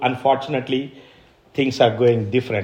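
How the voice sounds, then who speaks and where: Speaking with an Indian accent, a man holds a medium pitch. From India, Kadapa (Andhra Pradesh). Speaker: missionary pastor. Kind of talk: sermon. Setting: church service. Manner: hesitant, repeats words.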